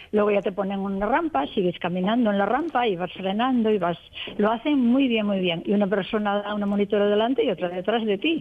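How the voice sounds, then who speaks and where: A woman at a fairly quick pace, ordinary pitch variation, over noticeable background noise. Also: medium pitch for a woman. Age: 70s. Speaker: retiree learning to ride a bike. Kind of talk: radio interview.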